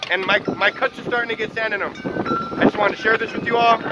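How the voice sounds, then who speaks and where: Noticeable background noise runs under the recording. The speech moves at a fairly quick pace. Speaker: vlogger. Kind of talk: casual vlog. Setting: outdoors in sandstorm. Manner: loud; animated.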